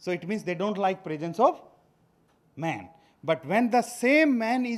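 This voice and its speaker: With lively intonation and a high pitch, a man speaks at a fairly slow pace. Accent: Indian. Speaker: veterinary scientist, food safety official. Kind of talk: workshop lecture. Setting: workshop presentation. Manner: hesitant with fillers.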